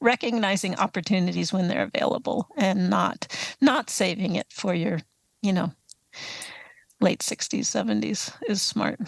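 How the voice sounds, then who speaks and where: A woman with an American accent speaks at a moderate pace and medium pitch, with vocal fry. The sound is dry and close with no echo, over a quiet background. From US East Coast (Atlanta, Baltimore, Boston). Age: 60s. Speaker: author and touring cyclist. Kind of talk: interview.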